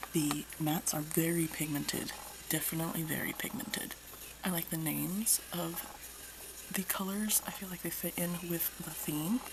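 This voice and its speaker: A woman whispers while noticeable noise carries on in the background. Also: moderate pace. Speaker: makeup reviewer. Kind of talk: casual talk to camera. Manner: whispered.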